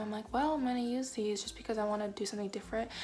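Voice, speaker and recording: Someone whispers while music plays in the background. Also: woman. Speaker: craft vlogger. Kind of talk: tutorial. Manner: whispering; casual, rambling.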